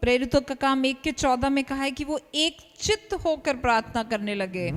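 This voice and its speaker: A woman's high-pitched voice, moderately paced, with lively intonation and noticeable background noise. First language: Hindi. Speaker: interpreter translating the sermon into Hindi. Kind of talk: live sermon interpretation.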